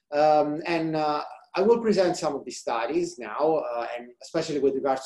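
Against a quiet background, a man with a dark, mellow tone speaks at a moderate pace with lively intonation. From central Italy. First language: Italian. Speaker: research scientist; presenter. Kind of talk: scientific presentation. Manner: halting, many fillers. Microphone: webcam.

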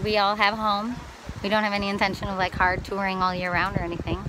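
A woman speaks at medium pitch and a very fast pace in a flat monotone, with long, frequent pauses, a dry sound with no echo, and noticeable background noise. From Wisconsin. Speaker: touring musician and vlogger. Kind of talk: casual video diary. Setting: outdoors by water. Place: waterside. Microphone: phone near.

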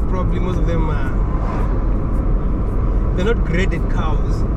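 The sound is dry with no echo, though loud background noise fills the recording. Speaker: travel vlogger driving. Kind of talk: casual vlog commentary. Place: car. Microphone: camera far.

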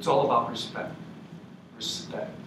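With an American accent, a man speaks over noticeable background noise. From New England, US. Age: 50s. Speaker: university professor. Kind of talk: lecture. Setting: workshop room with live audience. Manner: animated. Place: meeting room. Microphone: camera far.

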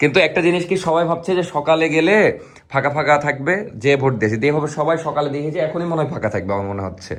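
A man talks with lively intonation, vocal fry running through his voice. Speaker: vlogger. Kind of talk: casual vlog narration.

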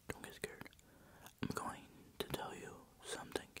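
Whispering and soft-spoken, a man comes through light background noise in a dry sound with no echo. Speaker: ASMR creator. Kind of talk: whispered ASMR roleplay. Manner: soft close-mic ASMR whisper. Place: home room. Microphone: lapel.

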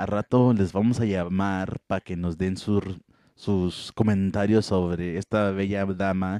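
Against a quiet background, a man speaks very slowly in a dark, mellow, flat monotone, with a dry, close sound and no echo. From Coahuila, Mexico.

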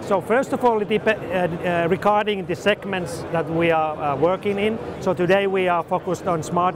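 A man speaks at a high pitch with fairly even intonation. Background noise is clearly heard.

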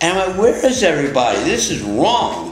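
A man at a fairly quick pace and fairly high pitch, big pitch swings, audible room echo and faint music in the background

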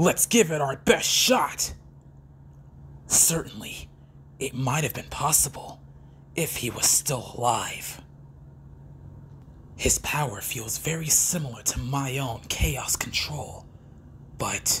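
At a fairly slow pace, a put-on character voice with low-to-middle pitch speaks with long, frequent pauses over clear background noise. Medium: voice reel. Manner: cold, serious, commanding.

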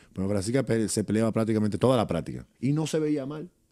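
In a quiet background, a man with a dark, mellow tone and fairly low pitch speaks at a fairly quick pace, his pitch swinging very widely. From Dominican Republic. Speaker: retired basketball player; guest. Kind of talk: interview. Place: studio. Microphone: studio mic.

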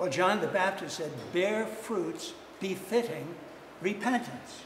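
Audible room echo surrounds a man speaking slowly at a high pitch, with a fairly bright tone and lively intonation.

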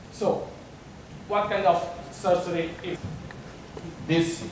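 A man with a Portuguese accent speaks in a high voice, with audible room echo and noticeable background noise. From Portugal, Porto. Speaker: software developer. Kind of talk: conference talk. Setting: stage with audience. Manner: halting. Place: hall.

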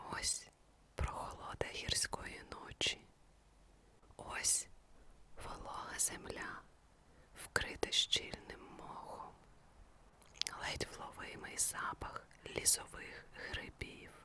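Amid noticeable background noise, a woman whispers in a calm tone at a very slow pace, with long, frequent pauses and big swings in loudness. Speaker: ASMR sleep story narrator. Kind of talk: guided sleep story. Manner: slow, calm.

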